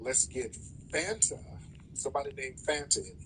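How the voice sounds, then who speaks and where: A man speaks at a fairly quick pace, with vocal fry. His pitch swings very widely. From United States. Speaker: livestream host. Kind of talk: heated debate. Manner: animated.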